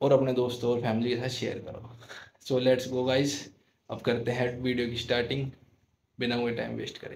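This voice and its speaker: Light background noise sits behind a man's voice. He sounds somewhat breathy, with monotone, flat intonation. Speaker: YouTube prank vlogger. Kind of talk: casual vlog chat. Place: home room. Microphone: phone near.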